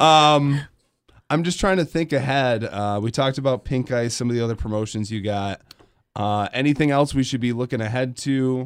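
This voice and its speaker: A man with an American accent speaks at a moderate pace and medium pitch, using ordinary pitch variation in a normal speaking voice. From Grand Rapids, Michigan. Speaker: radio host. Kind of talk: casual chat. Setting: studio.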